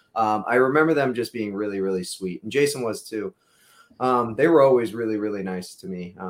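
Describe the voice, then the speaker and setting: A man's plain, everyday voice at medium pitch, with ordinary pitch variation and big swings in loudness. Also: fairly quick pace. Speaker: guest, son of a cast writer. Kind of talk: casual interview.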